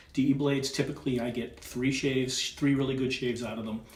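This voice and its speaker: A man with a Boston accent speaks at a fairly quick pace, sounding somewhat breathy. Echo from the room can be heard. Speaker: wet shaving video creator. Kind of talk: shaving tutorial with casual chat. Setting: at home, wife filming.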